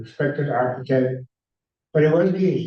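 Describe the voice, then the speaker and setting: A somewhat breathy man with an American accent, a fairly high pitch, and ordinary pitch variation. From US Midwest, Cleveland. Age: 80s+. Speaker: architect. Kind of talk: public talk. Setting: stage with audience. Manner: halting.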